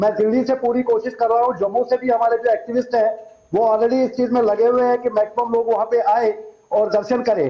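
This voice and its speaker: A man speaks at an extremely high pitch. His intonation is monotone and flat. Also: moderate pace, very even loudness. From Kashmir. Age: 60s. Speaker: Kashmiri Pandit community activist. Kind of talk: TV news interview. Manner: halting, with repeated false starts.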